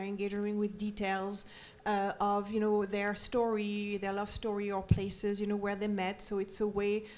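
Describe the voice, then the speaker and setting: At a moderate pace, a woman talks in a French accent. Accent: French, noticeable. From France, Paris. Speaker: documentary maker and former print editor. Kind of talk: panel discussion. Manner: hesitant, many fillers.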